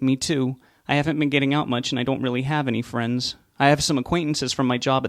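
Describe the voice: Read aloud in a plain way, the passage keeps a fairly even intonation.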